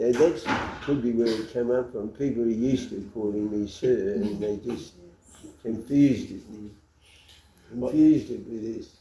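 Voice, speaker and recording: Over noticeable background noise, a man with a medium pitch speaks at a fairly slow pace, with long, frequent pauses and big swings in loudness. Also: ordinary pitch variation. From Australia. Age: 80s+. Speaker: lay missionary. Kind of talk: interview answer.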